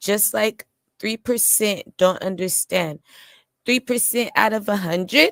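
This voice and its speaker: In an ordinary speaking voice, a woman at a medium pitch talks at a fairly slow pace with ordinary pitch variation, the sound dry and close with no echo. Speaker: streamer and musician. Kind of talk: casual livestream chat.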